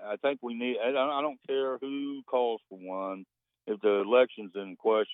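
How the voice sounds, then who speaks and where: In an American accent, a man uses an ordinary speaking voice at a medium pitch, with ordinary pitch variation and a moderate pace. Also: big swings in loudness. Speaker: radio caller. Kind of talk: casual call-in conversation. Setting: phone call.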